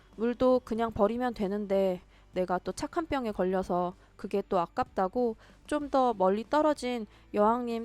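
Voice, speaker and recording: An unremarkable speaking voice from a woman, fairly high in pitch and fairly slow, on a very clean recording with a silent background and a dry, close sound with no echo. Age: 30s. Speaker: vlogger. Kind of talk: vlog voice-over narration.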